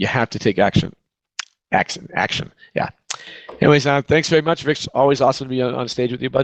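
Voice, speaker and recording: A man with a Boston accent talks at a very fast pace but with long, frequent pauses, his pitch medium and ordinary in variation, in a dry, close sound with no echo. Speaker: real estate agent, team leader. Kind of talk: virtual conference talk.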